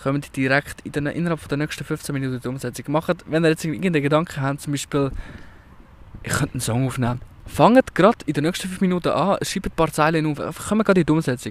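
A man at a fairly high pitch and a very fast pace. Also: ordinary pitch variation. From Switzerland, canton of Zug. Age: 20s. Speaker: podcaster. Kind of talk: casual chat. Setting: outdoors.

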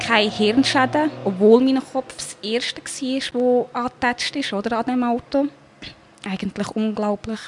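Over noticeable background noise, a woman with a high pitch talks fairly slowly with fairly even intonation and hardly any pauses. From Switzerland. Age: 20s. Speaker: near-death experience survivor. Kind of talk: personal testimony interview.

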